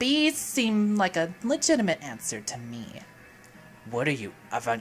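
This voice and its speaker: Over clear background noise, someone does a put-on character voice at a middle pitch. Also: moderate pace. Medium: game stream. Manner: sarcastic.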